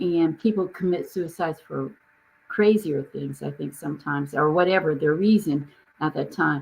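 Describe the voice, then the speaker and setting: A woman speaks in a very deep, low pitch with vocal fry. Her pace is moderate and her pitch varies in an ordinary way. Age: 70s. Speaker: business coach, founder. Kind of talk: casual chat. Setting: live stream video call.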